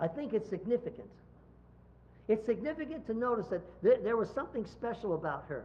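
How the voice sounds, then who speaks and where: A man's high-pitched voice. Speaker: pastor. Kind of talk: sermon delivered to a congregation. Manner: conversational, preacher-style.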